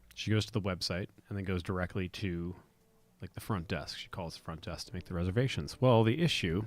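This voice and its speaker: Very deep and low, a soft-spoken man talks fairly quickly with ordinary pitch variation on a very clean recording with a silent background. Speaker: podcaster. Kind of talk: casual monologue. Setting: home recording at night. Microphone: close to the mic.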